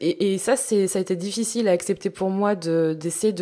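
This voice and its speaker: On a very clean recording with a silent background, a woman speaks fairly slowly at a medium pitch, her tone dark and mellow, her pitch variation ordinary. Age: 30s. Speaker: body-positive influencer and author. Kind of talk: casual chat.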